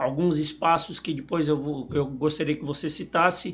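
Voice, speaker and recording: A man speaks with a Brazilian accent. His fairly high voice keeps a fairly even intonation. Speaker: podcast host and sales representative. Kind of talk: interview podcast. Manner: halting.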